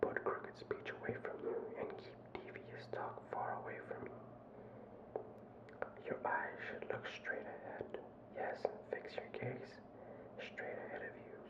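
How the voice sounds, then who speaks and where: Whispering at a fairly slow pace, with noticeable background noise. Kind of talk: ASMR scripture reading. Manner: whispered.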